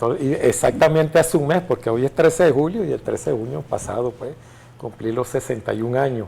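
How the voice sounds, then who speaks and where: A man talks at a fairly quick pace. His tone is dark and mellow, and somewhat breathy. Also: fairly high pitch for a man, ordinary pitch variation. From Venezuela, Caracas. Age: 60s. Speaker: retired general and legislator. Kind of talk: interview.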